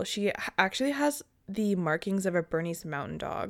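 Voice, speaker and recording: A woman talks at a moderate pace and a medium pitch, in an unremarkable speaking voice. The recording is very clean, with a silent background. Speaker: true crime podcast co-host. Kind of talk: casual chat and case narration.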